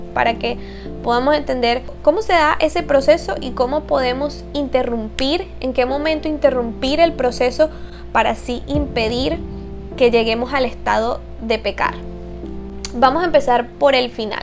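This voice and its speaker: There is music in the background. A woman speaks at a fairly slow pace. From Venezuela. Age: 20s. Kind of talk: casual faith talk to camera.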